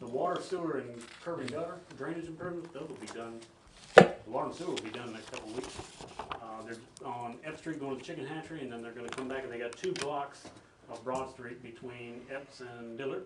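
A man talking at a very fast pace with ordinary pitch variation over loud background noise. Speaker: staff member reporting to council. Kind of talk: meeting report answer. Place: hall.

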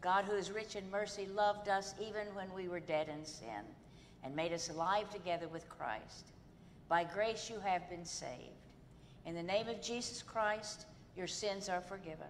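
Light background noise sits under a woman speaking at a moderate pace with ordinary pitch variation. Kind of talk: liturgical prayer. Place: church.

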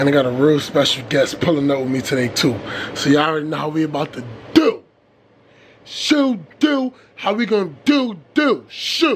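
A man at a moderate pace with lively intonation over light background noise. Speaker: vlogger. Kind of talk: casual vlog chat. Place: car. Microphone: phone near.

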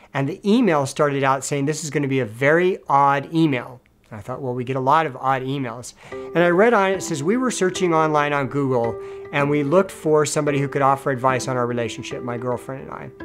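Over clear music in the background, a man speaks at a very fast pace with ordinary pitch variation. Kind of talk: interview answer. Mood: warm, upbeat. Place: home room.

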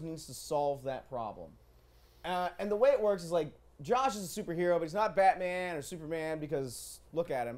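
Lively intonation runs through a man's speech at a fairly quick pace. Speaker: show host. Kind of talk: live show hosting. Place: studio. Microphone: lapel.

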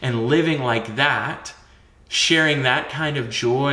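A man talks at a slow pace in a bright, sharp tone. Strong room echo surrounds his voice.

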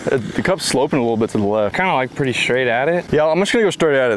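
A man talks at a very fast pace with hardly any pauses. The sound is dry with no echo, over light background noise. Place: open country. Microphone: lapel.

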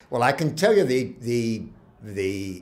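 A man's somewhat breathy voice. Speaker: medical professor. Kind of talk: interview answer. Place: home room.

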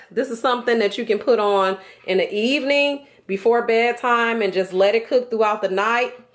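Fairly even intonation marks this woman's speech. She goes at a moderate pace. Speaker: home cook vlogger. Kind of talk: tutorial. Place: kitchen.

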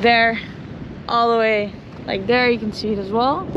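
Over noticeable background noise, a woman talks at a moderate pace in a high voice, with a dry sound and no echo. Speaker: kitesurfer vlogger. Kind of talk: casual vlog chat. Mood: cheerful, relaxed. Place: street. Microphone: phone near.

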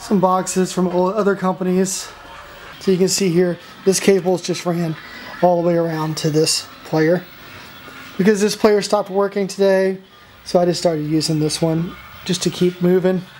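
Long, frequent pauses at a moderate pace, with music in the background. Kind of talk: casual walkthrough commentary. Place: shop. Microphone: phone near.

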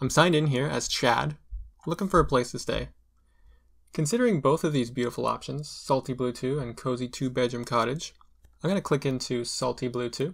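A man speaks at a fairly quick pace with vocal fry against a quiet background. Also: ordinary pitch variation. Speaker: tutorial creator. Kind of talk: tutorial. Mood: playful, light humor.

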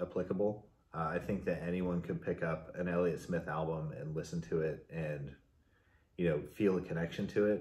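The man's voice sits at a very deep, low pitch. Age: 40s. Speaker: music fan; guest. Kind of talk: casual chat. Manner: halting. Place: home room. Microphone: camera far.

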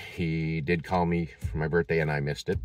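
A man talks at a fairly quick pace with an American accent. The background is quiet and the sound is dry with no echo. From Massachusetts. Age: 50s. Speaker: vlogger. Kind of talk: personal vlog. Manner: halting, many fillers. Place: car. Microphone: phone near.

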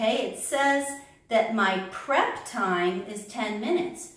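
A woman speaks at a very slow pace. There is audible room echo around her voice. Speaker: teacher. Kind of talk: tutorial. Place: home room. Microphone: camera far.

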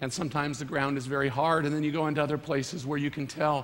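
A man with a fairly high voice speaks at a very fast pace in a flat monotone, with audible room echo. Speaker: guest preacher. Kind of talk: sermon. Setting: church.

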